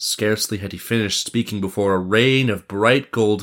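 Reading done in an unforced voice

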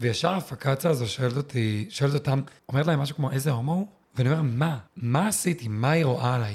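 This man talks at a very fast pace, somewhat breathy and fairly high in pitch. His pitch variation is ordinary. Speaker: former competitive swimmer, tour guide. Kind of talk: interview conversation.

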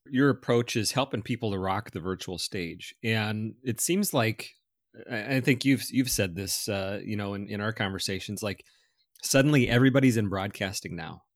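A man speaks in a normal speaking voice at a moderate pace. His fairly low pitch has ordinary variation. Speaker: podcast host. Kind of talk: interview conversation.

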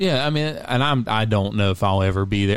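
This man has an ordinary speaking voice with a fairly low pitch. He talks at a fairly quick pace. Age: 30s. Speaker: podcaster guest. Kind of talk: casual chat. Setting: at host's home.

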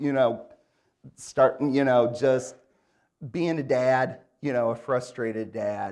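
A man with an Upper Midwest accent at medium pitch and a fairly slow pace. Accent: Upper Midwest American. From Michigan, Grand Rapids. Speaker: guest preacher. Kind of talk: sermon. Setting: church.

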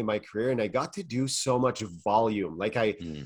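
Speaking at a moderate pace in a Quebec accent, a man uses lively intonation. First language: French. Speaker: mental performance coach. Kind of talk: interview.

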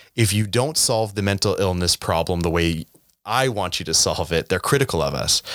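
A man speaks at a moderate pace in an ordinary speaking voice, fairly low in pitch, with very even loudness. The sound is dry and close with no echo, on a very clean recording with a silent background. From Canada, Saskatchewan (Regina). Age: 30s. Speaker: mental health nonprofit founder. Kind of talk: interview.

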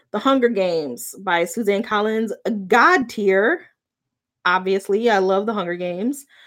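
On a very clean recording with a silent background, a woman with an unremarkable speaking voice talks at a fairly slow pace in a medium pitch with lively intonation. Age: 40s. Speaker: podcast host and librarian. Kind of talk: solo book review podcast, live. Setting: home, recorded live.

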